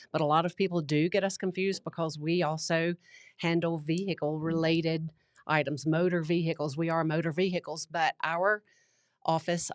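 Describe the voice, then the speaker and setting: A woman with a Southern US accent speaks at a moderate pace and fairly low pitch, her intonation monotone and flat, her loudness very even, in a dry, close sound with no echo and a quiet background. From US South. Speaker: county clerk and recorder. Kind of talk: casual interview.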